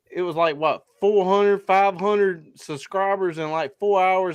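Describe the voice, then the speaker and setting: Against a quiet background, the speech moves at a moderate pace with fairly even intonation. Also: man. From South Carolina. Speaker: hunting podcast host. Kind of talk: casual chat.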